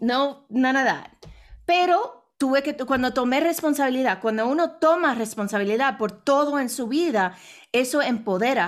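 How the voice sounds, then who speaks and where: A woman speaks at a high pitch with lively intonation. The recording is very clean, with a silent background. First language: English (speaking Spanish). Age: 40s. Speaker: international speaker and businesswoman. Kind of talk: interview. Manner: halting.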